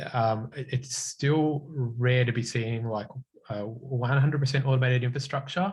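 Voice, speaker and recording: A somewhat breathy man with an Australian accent, medium pitch, fairly even intonation and a moderate pace. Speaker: cloud consultant, guest speaker. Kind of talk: technical talk with Q&A.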